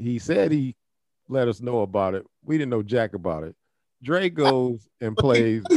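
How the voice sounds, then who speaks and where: At a fairly slow pace, a man with an American accent speaks in a plain, everyday voice at medium pitch, with lively intonation. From Toledo, Ohio. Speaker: podcast host. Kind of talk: casual chat.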